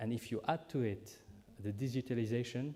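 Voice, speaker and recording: A man speaks at a moderate pace in a medium pitch, with a dark, mellow tone and ordinary pitch variation. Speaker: government minister. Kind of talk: keynote speech. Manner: halting, many filler sounds.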